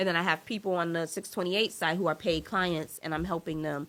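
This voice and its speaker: Recorded very cleanly against a silent background, a woman with an American accent talks at a fairly quick pace in a fairly low pitch with a bright, sharp tone. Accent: New York accent, slips out. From New York. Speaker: entrepreneur, marketing agency owner. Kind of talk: podcast interview. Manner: animated.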